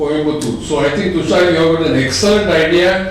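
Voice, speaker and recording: Background noise is noticeable here, along with audible room echo. The speaker is a man. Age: 80s+. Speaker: plastic surgeon. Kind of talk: informal talk at a medical meeting.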